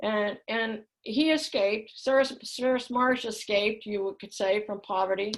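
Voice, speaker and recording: With a Midwestern American accent, a woman talks fairly slowly with hardly any pauses. Her pitch is fairly high, with ordinary variation. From US Midwest, Kansas City. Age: 70s. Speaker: spiritual speaker. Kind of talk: talk to a live group. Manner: halting.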